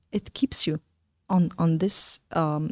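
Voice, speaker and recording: A woman's fairly low voice at a very slow pace, with ordinary pitch variation and a dry, close sound free of echo. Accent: Arabic. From Palestine. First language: Arabic. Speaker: startup founder. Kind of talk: interview conversation.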